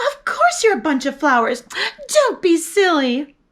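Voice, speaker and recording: A woman puts on a squeaky character voice at an extremely high pitch with very wide pitch swings. She speaks at a moderate pace. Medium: read story. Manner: loud, bellowing.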